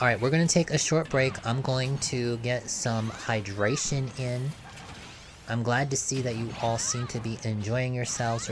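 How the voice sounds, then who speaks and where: A man speaks at a moderate pace and medium pitch. There is noticeable background noise. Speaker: game streamer. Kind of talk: live stream commentary. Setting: live stream. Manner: halting with fillers.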